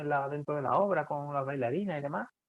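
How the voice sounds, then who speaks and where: A man is talking in a fairly high register. The rise and fall of his pitch is ordinary. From Andalusia, Seville. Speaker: rock musician. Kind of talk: podcast interview. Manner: hesitant, many repetitions and fillers.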